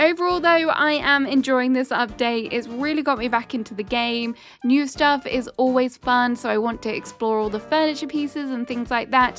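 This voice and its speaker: With music in the background, a woman with a British accent speaks at a moderate pace and hardly pauses. Her pitch is high, with ordinary variation. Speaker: gaming YouTuber. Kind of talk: casual review talk to camera.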